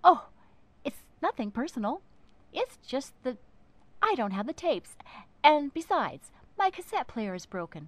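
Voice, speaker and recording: A woman does a put-on character voice at a high pitch with very wide pitch swings. Her pace is moderate, broken by long, frequent pauses. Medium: read story.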